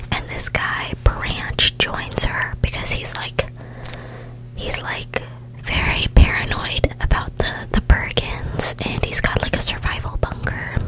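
A woman whispers at a very slow pace. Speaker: ASMR creator. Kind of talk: soft-spoken ASMR storytelling. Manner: soft close-mic ASMR speaking. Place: home room. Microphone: studio mic.

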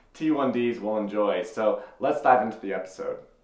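Audible room echo follows a man as he speaks at a moderate pace. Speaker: vlogger reviewing an app. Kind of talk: casual vlog chat. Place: home room. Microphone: camera far.

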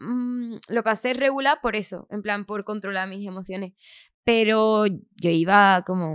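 A woman's fairly high voice at a fairly slow pace, with ordinary pitch variation and big swings in loudness, the sound dry with no echo over a quiet background. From Andalusia, Chiclana (Cádiz). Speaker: singer. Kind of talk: casual interview. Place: studio. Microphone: studio mic.

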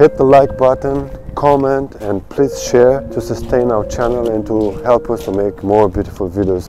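A man talks at a moderate pace. The sound is dry with no echo, and music plays clearly in the background. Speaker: travel vlogger. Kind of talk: casual vlog chat. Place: open country. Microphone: lapel.

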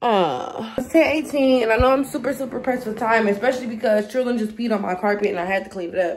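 Her pitch fairly high and varying in an ordinary way, a woman speaks at a very fast pace. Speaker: beauty vlogger. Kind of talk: casual vlog. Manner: casual, filler-heavy. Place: home room. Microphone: phone near.

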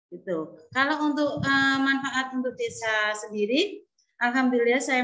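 Against a quiet background, a woman speaks at a moderate pace in a bright, sharp tone. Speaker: kindergarten teacher. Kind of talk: testimony. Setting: video call. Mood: grateful, warm. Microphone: video call.

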